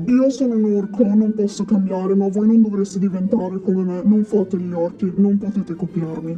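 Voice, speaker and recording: A put-on character voice at a middle pitch moves at a moderate pace. Faint music plays in the background. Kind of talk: student radio role-play interview.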